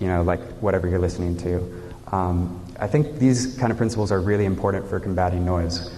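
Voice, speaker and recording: A man's voice carries audible room echo. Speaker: conference speaker. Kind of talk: conference talk. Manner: hesitant, many fillers; loud.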